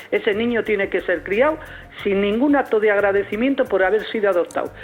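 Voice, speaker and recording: Over music in the background, a woman talks very fast at medium pitch with lively intonation and very even loudness. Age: 60s. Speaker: caller. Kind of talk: phone-in testimony. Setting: phone call. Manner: animated.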